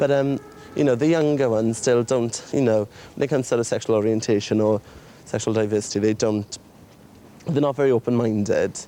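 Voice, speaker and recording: In a Welsh accent, the speaker goes at a fairly quick pace with long, frequent pauses, very even loudness and ordinary pitch variation, over noticeable background noise. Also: man, medium pitch for a man. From Wales. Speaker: documentary participant. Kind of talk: casual chat.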